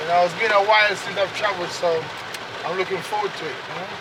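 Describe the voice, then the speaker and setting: Noticeable background noise sits behind a man using a raised, projected voice at a high pitch. He moves at a fairly quick pace in a flat monotone. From Jamaica, Kingston. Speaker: local guide and community activist. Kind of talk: casual chat.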